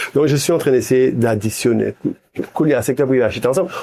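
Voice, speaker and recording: Medium-pitched speech from a man, dark and mellow in tone. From Haiti. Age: 60s. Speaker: businessman. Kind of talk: interview. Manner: halting.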